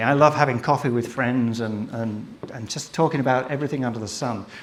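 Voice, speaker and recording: Speaking very fast with an English accent, a man at a medium pitch uses ordinary pitch variation, with audible room echo and noticeable background noise. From England, Southport (Merseyside). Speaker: photographer and filmmaker. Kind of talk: live presentation to an audience. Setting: stage with audience. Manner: casual, hesitant with fillers.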